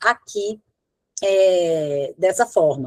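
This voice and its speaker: A woman speaks in a dry, close sound with no echo at all. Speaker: law professor and research clinic coordinator. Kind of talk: lecture Q&A.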